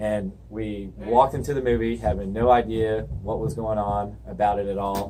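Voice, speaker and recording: A man with an American accent talks at a moderate pace, hardly pausing. His pitch is fairly low, and audible room echo surrounds the voice. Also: lively intonation. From US South, Georgia (Alpharetta, Milton area). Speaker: auto shop owner. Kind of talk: casual interview. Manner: animated storytelling.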